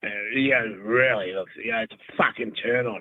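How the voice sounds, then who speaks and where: Speaking with a New Zealand accent, a man uses ordinary pitch variation. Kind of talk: casual chat. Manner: halting, stammering.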